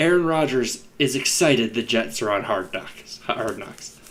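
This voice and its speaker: The man's speech moves along at a fairly slow pace. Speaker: fantasy football podcast host. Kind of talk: casual chat. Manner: loud; animated.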